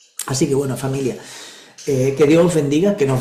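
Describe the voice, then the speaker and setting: A man talks with audible room echo and noticeable background noise around him. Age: 60s. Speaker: regression therapist and spiritual teacher. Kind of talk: spiritual talk in an online group session.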